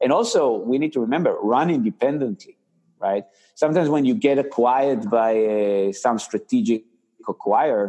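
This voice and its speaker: In an Israeli accent, a man speaks at a moderate pace and medium pitch, with lively intonation, very even loudness and a dark, mellow tone. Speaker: tech company founder and CEO. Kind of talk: interview. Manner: halting.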